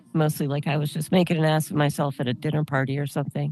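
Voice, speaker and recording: Monotone, flat intonation runs at a very fast pace with music in the background. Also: woman. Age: 50s. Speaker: podcast host and comedian. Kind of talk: interview.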